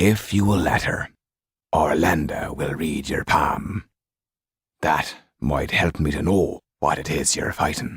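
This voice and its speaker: A man uses a put-on character voice that is raspy and very deep. He speaks fairly slowly, with long, frequent pauses. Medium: read story. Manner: terse, challenging.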